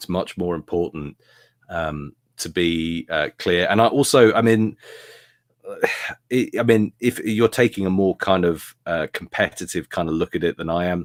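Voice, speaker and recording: Someone speaks at a moderate pace in a British accent, with a dry, close sound with no echo on a very clean recording with a silent background. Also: man, very deep, low pitch for a man, ordinary pitch variation. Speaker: YouTube gaming commentator. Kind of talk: interview.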